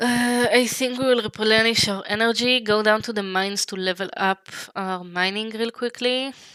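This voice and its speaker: An Israeli accent at a moderate pace, hardly any pauses and fairly even intonation, over noticeable background noise. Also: woman. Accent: Hebrew. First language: Hebrew. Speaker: vtuber streamer. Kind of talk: gaming livestream chat. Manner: halting.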